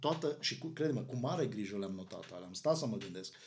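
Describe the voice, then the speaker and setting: A somewhat breathy voice with ordinary pitch variation and audible room echo. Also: man. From Romania, Arad. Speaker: pastor. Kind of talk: casual chat.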